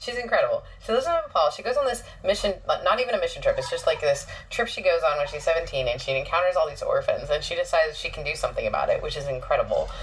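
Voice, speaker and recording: A woman at a very fast pace with hardly any pauses, amid noticeable background noise. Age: 30s. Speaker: podcast host and pastor. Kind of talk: casual chat; scripted narration.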